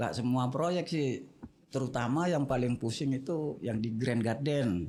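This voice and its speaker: A man's medium-pitched voice with a dark, mellow tone, fairly slow pace, ordinary pitch variation and very even loudness. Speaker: construction foreman. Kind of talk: casual interview. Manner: blunt, unpolished speech.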